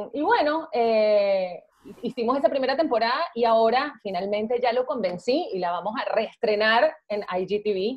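A woman with a plain, everyday voice, fairly high pitch, lively intonation and a fairly slow pace. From Venezuela. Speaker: actress. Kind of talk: casual chat. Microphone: video call.

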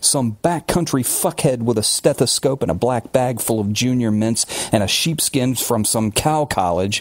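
The pitch moves with ordinary variation. It is delivered in an unforced reading voice.

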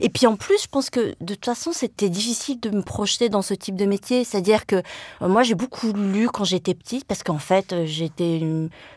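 A woman's medium-pitched voice at a fairly quick pace with ordinary pitch variation, dry and close with no echo, on a very clean recording with a silent background. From France, Le Mans (Sarthe). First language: Vietnamese (forgotten) (speaking French). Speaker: journalist and author. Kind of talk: interview. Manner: hesitant, many fillers.

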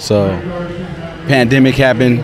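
The man's voice sounds dry with no echo, though noticeable background noise is present. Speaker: interviewee. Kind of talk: interview answer. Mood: proud, promotional. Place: street. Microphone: handheld.

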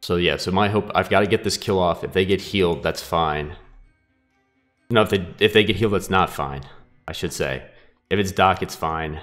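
Over music in the background, a man with a very deep, low pitch and ordinary pitch variation speaks at a moderate pace, leaving long, frequent pauses. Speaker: gaming YouTuber. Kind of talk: gameplay commentary. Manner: casual.

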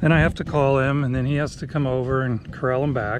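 A man's voice with ordinary pitch variation, dry with no echo, over noticeable background noise. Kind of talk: casual vlog chat. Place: open country. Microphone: phone near.

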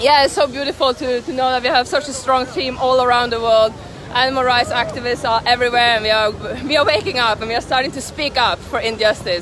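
A woman speaks at a very fast pace in a high, enthusiastic voice with ordinary pitch variation. Crowd noise fills the background. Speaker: traveling animal rights activist filming a protest. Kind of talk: street protest vlog narration. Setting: outdoors in city streets and shops.

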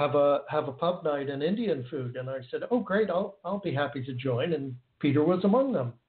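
This man has an American accent and a fairly high pitch for a man, speaking at a moderate pace. It is an unremarkable speaking voice. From United States. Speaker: guitarist. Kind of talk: casual interview chat.

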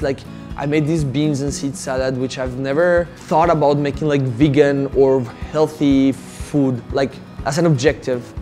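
Clear music plays in the background. A man speaks over it at a moderate pace with fairly even intonation. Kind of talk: interview answer. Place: cafe. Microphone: lapel.

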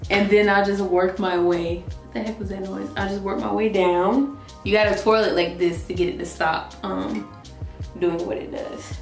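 Music plays in the background as a woman's voice swings widely in loudness, with audible room echo. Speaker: beauty vlogger. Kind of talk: casual vlog chat. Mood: playful, some pain yelps. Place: bathroom. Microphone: camera far.

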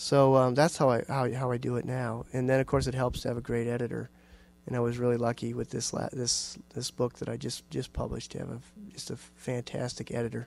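This man speaks with an American accent at a fairly quick pace, his intonation monotone and flat, the sound dry with no echo. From Iowa, US Midwest. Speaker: writer and university teacher; university teacher. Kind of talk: audience Q&A; lecture with reading aloud. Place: hall.

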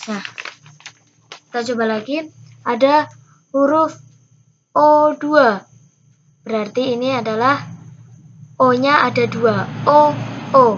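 Over light background noise, a woman speaks at a high pitch with ordinary pitch variation. She goes very slowly, with long, frequent pauses. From Indonesia. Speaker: scout instructor. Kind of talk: tutorial. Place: home room. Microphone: webcam.

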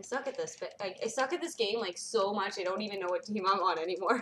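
A woman's voice over noticeable background noise. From Washington state. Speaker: gamer streamer. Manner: animated.

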